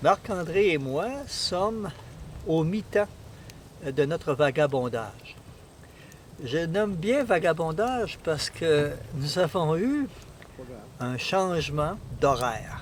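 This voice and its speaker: A very slow delivery with lively intonation and long, frequent pauses. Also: man, fairly high pitch for a man. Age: 60s. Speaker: canoe traveller. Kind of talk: casual chat. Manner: halting.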